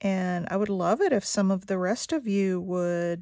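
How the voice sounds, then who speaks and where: The sound is dry, with no echo. The background is quiet. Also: woman. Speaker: craft artist and video maker. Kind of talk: craft tutorial chat while working. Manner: casual, hesitant; quiet when concentrating. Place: home room.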